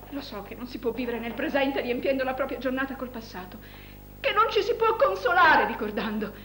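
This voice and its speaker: A woman with a high pitch speaks at a fairly quick pace, her loudness swinging widely. The room echo is audible, with light background noise. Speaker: stage actress. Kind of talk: theatrical monologue. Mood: melancholic, reflective. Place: stage.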